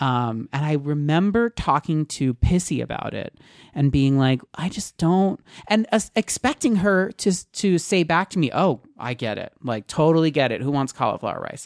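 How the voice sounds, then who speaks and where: A man with an unremarkable speaking voice talks at a moderate pace and a fairly high pitch. His intonation is lively, and the sound is dry and close with no echo. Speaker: podcast co-host.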